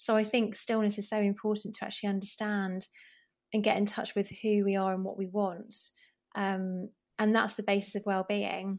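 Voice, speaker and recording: A woman with a British accent speaks at a medium pitch and a moderate pace in a monotone, flat intonation. The recording is very clean with a silent background. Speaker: GP and broadcaster. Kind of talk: casual interview.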